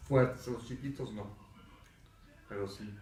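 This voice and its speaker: Through noticeable background noise and audible room echo, a man with a fairly low pitch speaks at a moderate pace. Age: 60s. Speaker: architect recalling the 1985 earthquake. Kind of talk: testimony. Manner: halting, with fillers.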